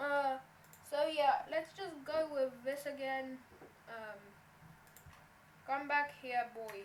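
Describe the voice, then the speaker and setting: Over noticeable background noise, a woman speaks very slowly at a high pitch with long, frequent pauses, big swings in loudness and ordinary pitch variation. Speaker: Roblox animation tutorial maker. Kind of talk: screen-recorded software tutorial. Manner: casual, hesitant.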